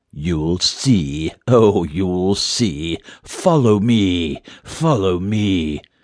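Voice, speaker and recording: A put-on character voice from a man, very deep and low in pitch, with lively intonation and a very slow pace. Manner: luring.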